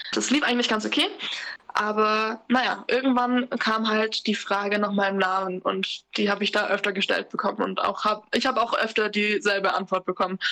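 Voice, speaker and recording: A woman talks at a moderate pace with a fairly high pitch and a bright, sharp tone. Her intonation stays fairly even and her loudness very even. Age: 20s. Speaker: interview guest sharing racism experiences. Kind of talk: personal testimony in casual chat. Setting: remote, sitting in her kitchen.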